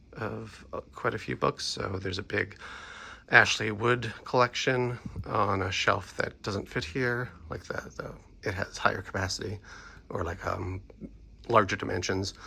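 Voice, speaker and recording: A man talks fairly slowly, stopping often for long pauses. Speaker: comic and art book collector. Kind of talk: casual talk to camera. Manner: hesitant, filler-heavy.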